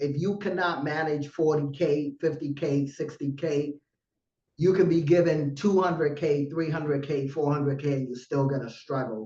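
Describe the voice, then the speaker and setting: A man's voice comes out dark and mellow in tone and somewhat breathy. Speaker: trading educator livestream host. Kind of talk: live webinar presentation. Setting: livestream. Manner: aggressive.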